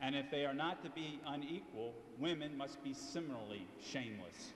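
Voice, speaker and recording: Against noticeable background noise and audible room echo, a man with an American accent speaks at a moderate pace with a fairly high pitch and ordinary pitch variation. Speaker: attorney, debate speaker. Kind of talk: prepared debate speech. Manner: loud.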